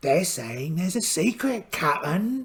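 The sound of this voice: A man puts on a character voice that is fairly high and fairly bright in tone, with big pitch swings. He talks at a slow pace.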